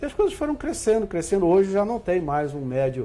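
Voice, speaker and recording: A man with very wide pitch swings at a fairly quick pace. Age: 60s. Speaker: spiritist center president. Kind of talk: TV interview.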